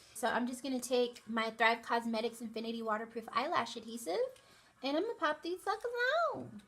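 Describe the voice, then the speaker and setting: Very fast, fairly high-pitched speech from a woman, with ordinary pitch variation over noticeable background noise. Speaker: beauty youtuber. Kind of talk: tutorial. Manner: casual.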